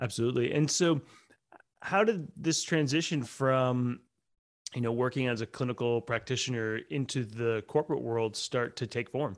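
A man with an ordinary speaking voice, moderate in pace and medium in pitch, his pitch variation ordinary. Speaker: podcast host. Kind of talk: interview conversation.

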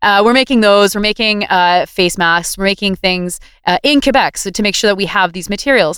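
In a Canadian accent, a woman with medium pitch and an ordinary speaking voice talks at a fairly quick pace, with ordinary pitch variation and hardly any pauses. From Ontario, Greater Toronto Area. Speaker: writer and activist. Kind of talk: casual interview. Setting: video call.

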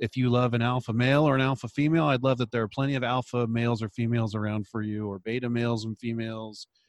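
Against a quiet background, a man with a medium-pitched, normal speaking voice talks at a fairly quick pace with fairly even intonation, the sound dry and close with no echo. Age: 40s. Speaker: chiropractor and podcast host. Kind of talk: interview; scripted introduction.

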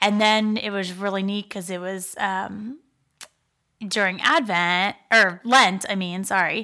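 In a very clean recording with a silent background, a speaker with an American accent talks at a very slow pace in a bright, sharp tone with fairly even intonation. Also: woman, medium pitch for a woman. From Pittsburgh, Pennsylvania. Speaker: marketing professional sharing faith testimony. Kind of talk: faith testimony in casual interview. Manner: hesitant, many fillers.

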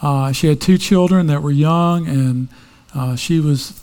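This man has an ordinary speaking voice and talks at a fairly slow pace. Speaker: pastor. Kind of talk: sermon.

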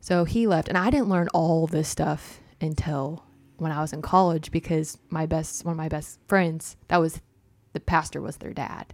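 Recorded very cleanly over a silent background, a woman with an American accent speaks at a moderate pace in a fairly low voice with fairly even intonation. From US South, Arkansas. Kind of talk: casual chat. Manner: hesitant, many fillers.

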